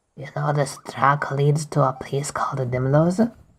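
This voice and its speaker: A gravelly put-on character voice at a low-to-middle pitch speaks at a moderate pace. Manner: ominous, cryptic.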